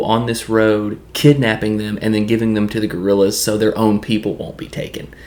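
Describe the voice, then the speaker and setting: Here a man talks with a Southern accent. His pitch is fairly low. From US South, Tennessee. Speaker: YouTube film and TV reviewer. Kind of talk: casual solo review monologue. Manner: casual, with frequent filler words.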